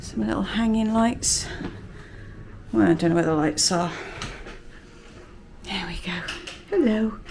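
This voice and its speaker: Quietly and at a fairly slow pace, a woman with a British accent speaks at a fairly low pitch, swinging very widely in pitch and leaving long, frequent pauses. Audible room echo and noticeable background noise surround her voice. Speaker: family travel vlogger. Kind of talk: vlog room tour. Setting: hotel room. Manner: casual, hesitant fillers; speaking quietly.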